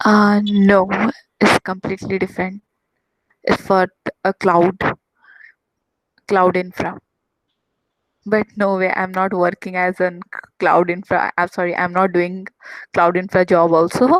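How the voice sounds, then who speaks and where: A woman's medium-pitched, monotone, flat delivery in an Odisha accent, fairly slow with long, frequent pauses and a dry, close sound with no echo. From Odisha, India. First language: Odia. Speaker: IT trainer. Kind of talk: casual chat. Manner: halting.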